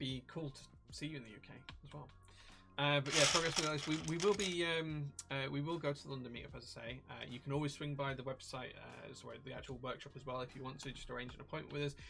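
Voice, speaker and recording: A man with a West Yorkshire accent talks at a very fast pace, fairly high in pitch and fairly even in intonation. His loudness swings widely, and music plays in the background. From northern England, Leeds. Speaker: live stream host, keyboard workshop owner. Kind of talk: casual chat. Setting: workshop office, live stream.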